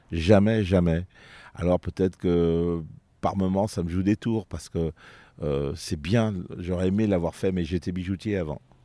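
On a very clean recording with a silent background, a man speaks at a fairly slow pace in a very deep, low pitch with a dark, mellow tone, fairly even intonation, long, frequent pauses and a dry, close sound with no echo. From France, Vienne (Isère, near Lyon). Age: 50s. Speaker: comedian. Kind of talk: casual interview. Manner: halting, frequent repetitions.

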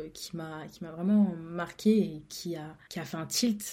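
A woman speaks in a dark, mellow tone that is somewhat breathy, with ordinary pitch variation. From France. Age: 20s. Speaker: podcaster. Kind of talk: casual solo monologue. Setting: recording alone at home. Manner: hesitant, repeats words.

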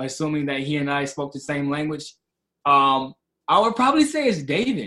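With an American accent, a man speaks at a moderate pace in a bright, sharp, animated tone, fairly high in pitch with ordinary pitch variation. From Michigan, Kalamazoo. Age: 30s. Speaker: Bible teacher. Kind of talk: casual interview.

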